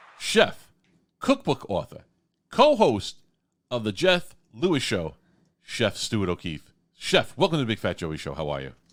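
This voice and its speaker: A man with a strong New York accent and medium pitch speaks at a fairly slow pace, with very wide pitch swings, vocal fry, big swings in loudness, and long, frequent pauses. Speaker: radio host. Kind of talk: radio interview. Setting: radio studio.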